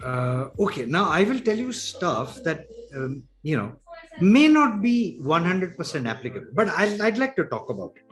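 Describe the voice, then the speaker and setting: Against noticeable background noise, a man with a high pitch speaks at a moderate pace, his pitch swinging very widely and his loudness shifting in big swings. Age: 70s. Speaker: author and digital entrepreneur. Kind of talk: interview.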